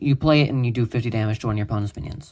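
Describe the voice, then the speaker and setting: Recorded very cleanly against a silent background, a man speaks in a somewhat breathy voice with ordinary pitch variation. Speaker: YouTuber showing his homemade card game. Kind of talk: casual card game walkthrough. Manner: fast; casual with many fillers.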